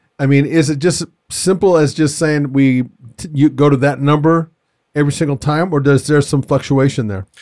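This is a very clean recording with a silent background. It features a normal speaking voice. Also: man, fairly high pitch for a man, fairly even intonation, moderate pace. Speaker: podcast host. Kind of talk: casual interview chat. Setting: in-person studio recording.

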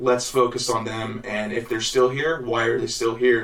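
With an American accent, a man speaks at a moderate pace and medium pitch, with audible room echo and noticeable background noise. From Illinois and Missouri, US Midwest. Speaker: singer-songwriter. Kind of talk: casual interview.

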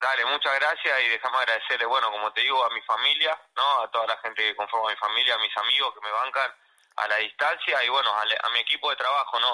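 A man rattles off his words very fast at a medium pitch. The intonation remains fairly even. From Argentina, Córdoba. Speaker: professional boxer. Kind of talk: phone interview. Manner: halting.

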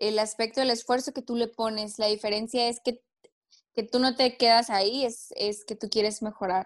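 A woman talks at a fairly high pitch. Her pace is moderate and her intonation monotone and flat. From Mexico, Tijuana. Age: 20s. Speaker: singer-songwriter. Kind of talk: casual interview.

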